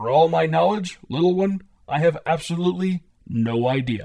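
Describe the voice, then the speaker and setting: A man talks at a moderate pace in a fairly high pitch. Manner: cheerful, reassuring, wise.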